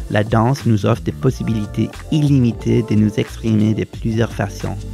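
With music playing behind him, a man talks at a moderate pace. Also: fairly low pitch for a man, ordinary pitch variation. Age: 30s. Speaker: professional dancer. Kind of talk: inspirational bilingual voice-over message.

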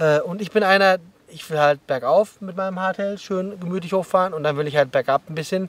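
A man's high-pitched voice, dry with no echo, against light background noise. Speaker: mountain bike coach. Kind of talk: explanatory vlog commentary. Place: open country.

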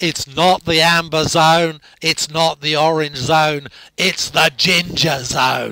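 In a raspy, put-on character voice, a man speaks at fairly high pitch and a fairly slow pace, monotone and flat with very even loudness. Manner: loud, declarative.

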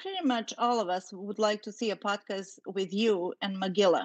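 Against a quiet background, the woman keeps a moderate pace. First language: not English. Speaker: panel researcher. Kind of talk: casual discussion. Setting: online video call.

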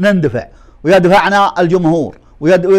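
A man speaks at a fairly slow pace in a high voice with ordinary pitch variation. The background is quiet. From Saudi Arabia, Bedouin desert near Umm al-Dum; Saudi Arabia. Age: 60s. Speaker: poet. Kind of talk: interview. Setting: at home. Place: home room. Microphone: lapel.

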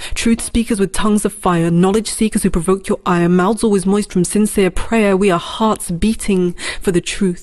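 Quiet background behind a woman at a moderate pace with hardly any pauses. Her intonation is monotone and flat. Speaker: spoken word poet. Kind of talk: spoken word poem, defiant and rhetorical, performed as a collective 'we' declaration. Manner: impassioned, incantatory, with emphatic rhythmic cadence and a refrain-like repetition; fiery, defiant, and resolute, building in intensity like a rallying protest cry. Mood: defiant, passionate. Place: studio.

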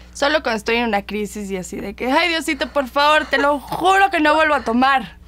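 Hardly pausing, a woman talks fairly quickly in a high voice with lively intonation. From Mexico City. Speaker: model and actress; interview guest, actress. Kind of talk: casual interview chat. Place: studio.

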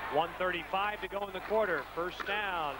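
Amid noticeable background noise, a man uses a raised, projected voice, extremely high in pitch, at a very slow pace. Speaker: sports commentator. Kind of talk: live sports commentary. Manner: excitable, rising pitch on big plays.

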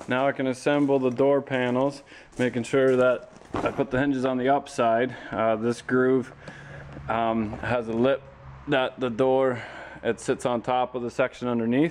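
A man speaks at a moderate pace with a monotone, flat intonation. Light background noise sits behind him. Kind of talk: tutorial. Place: garage.

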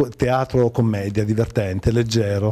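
A man's dark, mellow voice at a fairly slow pace, fairly even in intonation, against a quiet background. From Liguria, Italy (Imperia); Liguria. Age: 40s. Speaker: actor and comedian; actor, comedian. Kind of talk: TV interview. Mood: cheerful, relaxed. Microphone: handheld.

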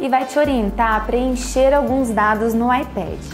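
Clear music plays behind a woman who talks at a fairly slow pace. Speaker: dermatologist. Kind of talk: clinic welcome / patient information video. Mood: warm, cheerful. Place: office.

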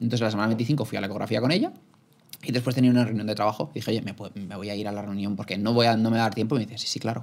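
The speaker moves at a very fast pace with ordinary pitch variation. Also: man. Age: 20s. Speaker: podcast host, young father; podcast guest. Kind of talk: casual chat. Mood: earnest, reflective storytelling. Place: studio. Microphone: studio mic.

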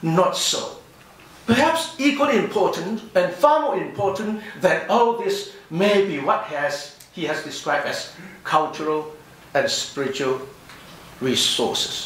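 Audible room echo surrounds a man who speaks fairly slowly at a high pitch with very wide pitch swings. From overseas Chinese community. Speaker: professor. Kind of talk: conference response speech. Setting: conference hall with audience. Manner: formal. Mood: measured, thoughtful. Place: hall. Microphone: podium.

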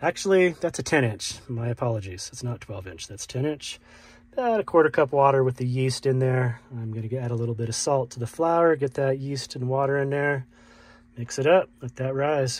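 A man at a moderate pace, somewhat breathy, with ordinary pitch variation, big swings in loudness and a dry sound with no echo. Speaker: van-life vlogger. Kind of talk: casual vlog chat, cooking tutorial. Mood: cheerful, relaxed. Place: home room. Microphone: phone near.

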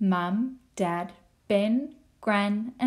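A natural reading voice whose pitch varies in an ordinary way

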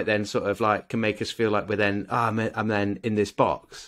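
A man with a British accent, a bright, sharp tone and a fairly quick pace, against a quiet background. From UK. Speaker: podcast co-host. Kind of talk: casual chat. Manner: animated. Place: home room. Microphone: studio mic.

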